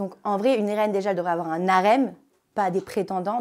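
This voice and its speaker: This woman talks at a very fast pace in an animated tone. Her pitch is medium, with ordinary variation. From France, partly raised in Africa. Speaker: reality TV contestant. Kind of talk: casual interview.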